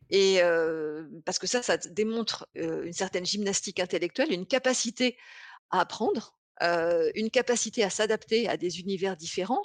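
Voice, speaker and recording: In a dry, close recording with no echo and a quiet background, a woman speaks at a moderate pace and medium pitch with ordinary pitch variation. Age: 50s. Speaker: business consultant and author. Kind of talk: interview. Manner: halting, many repeated words.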